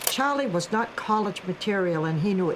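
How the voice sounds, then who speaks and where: A woman speaks with lively intonation, with audible room echo and noticeable background noise in the recording. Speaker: carver's mother. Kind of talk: documentary interview.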